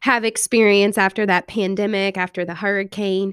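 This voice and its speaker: In a very clean recording with a silent background, a woman with a Louisiana accent speaks at a medium pitch, the sound dry and close with no echo. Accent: southern US (Louisiana). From Louisiana (Thibodaux area). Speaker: podcast host. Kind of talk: interview.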